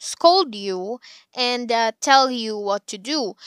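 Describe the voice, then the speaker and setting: Recorded very cleanly against a silent background, with a dry, close sound and no echo, a woman speaks in a high, bright, sharp voice with very wide pitch swings. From Philippines, Cavite. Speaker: podcast host, psychology graduate. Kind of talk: casual solo podcast chat. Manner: animated, frequent laughter.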